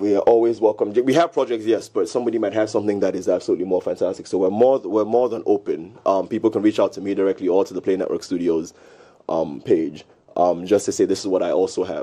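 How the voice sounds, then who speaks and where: A man rushes along at a very fast pace against a quiet background. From Ghana. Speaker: entertainment entrepreneur; guest. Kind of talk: casual talk show interview. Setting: studio. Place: studio. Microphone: studio mic.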